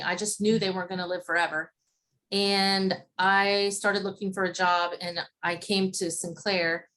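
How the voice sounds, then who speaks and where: With an Appalachian Ohio accent, a woman talks at a moderate pace and a medium pitch. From Appalachian Ohio (Zanesville). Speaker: interviewee. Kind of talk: interview.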